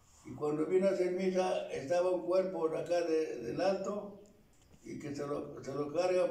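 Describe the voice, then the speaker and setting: A man speaks at a high pitch. Audible room echo surrounds his voice. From Tlaxcala, Mexico. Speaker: elderly local narrator. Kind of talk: oral history interview answer. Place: home room. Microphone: camera far.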